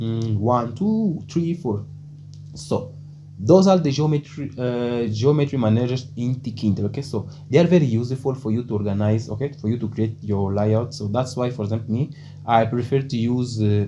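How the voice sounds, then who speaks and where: A man at a moderate pace with ordinary pitch variation and noticeable background noise. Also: medium pitch for a man. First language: Portuguese. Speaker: programming tutorial creator. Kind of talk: tutorial. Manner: hesitant, many fillers like okay and uh.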